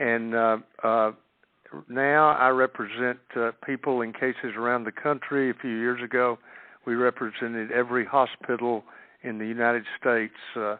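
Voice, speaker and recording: The speaker has an Appalachian accent. The delivery is monotone and flat at a moderate pace. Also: man, medium pitch for a man. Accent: Appalachian Southern US. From East Tennessee. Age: 60s. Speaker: political candidate. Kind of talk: phone-in Q&A. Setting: conference call. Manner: halting with many fillers.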